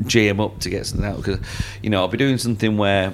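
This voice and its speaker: A man with a Lancashire accent, noticeable background noise around him. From Lancashire, northern England. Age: 30s. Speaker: magician. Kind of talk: casual chat. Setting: restaurant basement.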